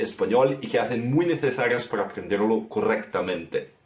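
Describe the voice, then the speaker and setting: A man speaks over noticeable background noise. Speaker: guest language explainer. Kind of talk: language lesson explanation.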